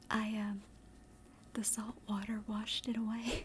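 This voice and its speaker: A woman's somewhat breathy, relaxed voice in a Southern US accent, fairly high in pitch and at a fairly slow pace. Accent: Southern American. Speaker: ASMR streamer / vtuber. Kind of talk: casual storytelling to an audience. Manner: chatty, relaxed, with filler words.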